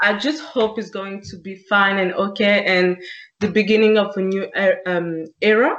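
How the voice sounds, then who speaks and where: A woman with a French accent speaks at a moderate pace, her medium pitch showing ordinary variation. Her loudness swings widely. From France. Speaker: podcast co-host. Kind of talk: casual chat.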